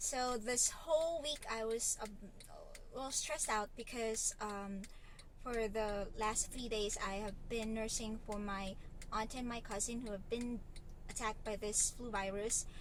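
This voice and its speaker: A woman with a fairly high pitch and ordinary pitch variation talks at a fairly slow pace with long, frequent pauses, and the room echo is audible. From Philippines, Lipa City, Batangas. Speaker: vlogger and online English tutor. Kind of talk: casual vlog.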